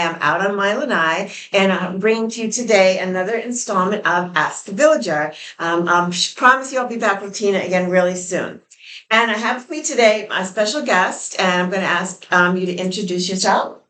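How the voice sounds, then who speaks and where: A medium-pitched woman with an American accent, fairly quick in pace, with ordinary pitch variation and noticeable background noise. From New York. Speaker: interviewer / channel co-host. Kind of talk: casual interview on a porch.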